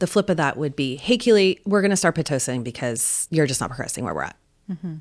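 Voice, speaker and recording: Speaking very fast with lively intonation, a woman sounds confident on a very clean recording with a silent background. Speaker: birth doula. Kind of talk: interview answer. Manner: confident, outspoken, fiery.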